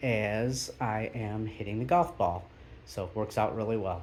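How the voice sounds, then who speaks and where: A man speaks with a fairly low pitch. Audible room echo surrounds the voice. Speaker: golf YouTuber. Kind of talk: casual video tour. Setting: backyard golf simulator shed. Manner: hesitant, many fillers.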